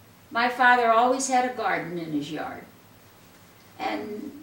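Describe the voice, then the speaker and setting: Lively and high-pitched, a woman speaks over noticeable background noise with audible room echo. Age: 80s+. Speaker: interviewee recalling the Depression. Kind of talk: casual interview. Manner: halting.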